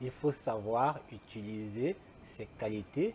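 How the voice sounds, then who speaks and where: A man's dark, mellow tone. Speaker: talk show host. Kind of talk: interview.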